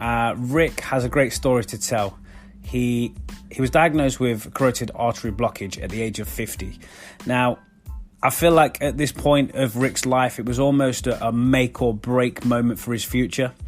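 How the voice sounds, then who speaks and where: With music in the background, a man speaks at a moderate pace in a medium pitch with fairly even intonation. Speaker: podcast host. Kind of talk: podcast intro.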